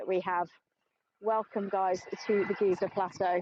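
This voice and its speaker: A woman's voice of medium pitch with an English accent. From England. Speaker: tour guide. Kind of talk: live guided tour. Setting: outdoors in the desert. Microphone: phone on gimbal, clip mic.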